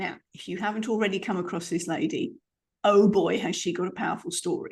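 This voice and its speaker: With a British accent, a woman talks at a moderate pace in a fairly high, somewhat breathy voice. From UK. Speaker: podcast host. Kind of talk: podcast interview.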